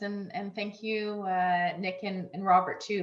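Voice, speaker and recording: Audible room echo around a woman at a moderate pace and medium pitch. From Newfoundland, Canada. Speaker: leadership coach. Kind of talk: event moderation. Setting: video call.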